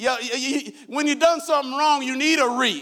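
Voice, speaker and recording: Raised and projected, a man's voice carries a bright, sharp tone. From Iowa, US Midwest.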